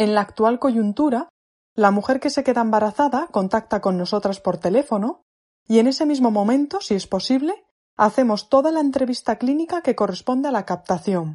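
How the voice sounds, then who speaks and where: A woman talks at a moderate pace in a fairly high pitch, with lively intonation and a normal speaking voice. The background is quiet. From León, Spain. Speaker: midwife. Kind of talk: recorded informational message. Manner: formal.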